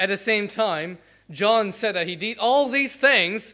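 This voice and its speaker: A raised, projected voice with a bright, sharp tone speaks at a fairly slow pace on a very clean recording with a silent background. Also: man. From Malaysia. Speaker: pastor. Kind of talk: sermon.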